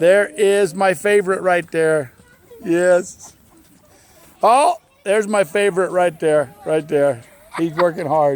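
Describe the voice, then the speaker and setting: This man's voice is loud and high-pitched, with ordinary pitch variation. He speaks very slowly, with long, frequent pauses, over noticeable background noise. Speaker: family vlogger. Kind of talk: casual home video narration. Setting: outdoors. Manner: animated.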